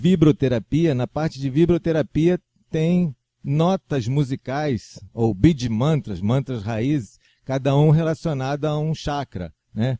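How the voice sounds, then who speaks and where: A man talks very slowly at a fairly high pitch with ordinary pitch variation and a dark, mellow tone. The very clean recording has a silent background and a dry, close sound with no echo. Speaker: religious teacher. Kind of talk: religious lecture. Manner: casual, conversational.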